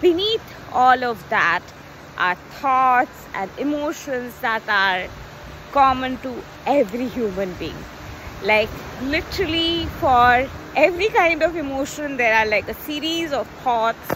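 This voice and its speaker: Light background noise and a dry sound with no echo surround a woman with a high pitch who makes very wide pitch swings at a fairly slow pace with long, frequent pauses. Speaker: coach. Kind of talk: casual vlog chat. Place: beach. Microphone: phone near.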